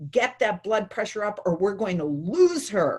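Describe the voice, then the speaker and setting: This is a put-on character voice, gruff and growling. It sits at a fairly high pitch and moves at a moderate pace. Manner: urgent, stern.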